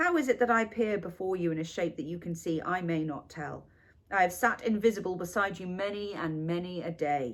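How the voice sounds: A natural reading voice, pitch shifting ordinarily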